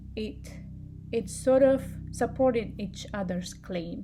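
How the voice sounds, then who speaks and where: At a very slow pace, a woman with a non-native accent speaks in a dark, mellow, somewhat breathy tone. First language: not English. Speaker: public health student. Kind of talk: student class presentation.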